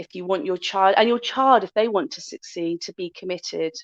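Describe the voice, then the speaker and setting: A woman's medium-pitched voice with a Bristol accent, at a moderate pace with ordinary pitch variation, in a dry, close sound with no echo. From Bristol, West Country of England. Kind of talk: podcast interview.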